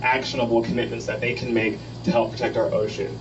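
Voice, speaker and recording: A man with an American accent talks amid audible room echo and noticeable background noise. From Texas, Corpus Christi. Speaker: student climate advocate. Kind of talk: public talk. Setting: boat meeting with audience. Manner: hesitant, many fillers.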